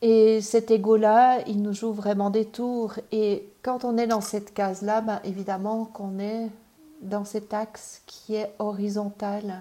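A woman speaks at a very slow pace with a monotone, flat intonation. Her pitch is fairly high. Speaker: parenting and personal development coach. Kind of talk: personal development video talk. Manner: hesitant, many fillers and repetitions.

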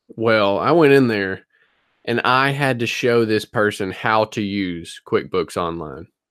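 In a Southern US accent, a man talks at a fairly slow pace with lively intonation. His voice is fairly low in pitch. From US South, North Louisiana. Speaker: reseller podcast co-host. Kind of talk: casual chat. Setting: video call.

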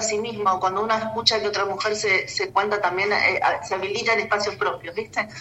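A woman's fairly high, monotone voice with flat intonation and audible room echo. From Buenos Aires, Argentina. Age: 50s. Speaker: artist and transpersonal therapist. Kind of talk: interview. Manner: halting, many fillers and repetitions.

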